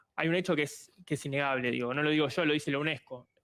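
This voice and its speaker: A man in a Rioplatense accent, fairly high pitch, ordinary pitch variation, very fast pace, dry, close sound with no echo. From Argentina. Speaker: communist party leader. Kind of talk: televised debate.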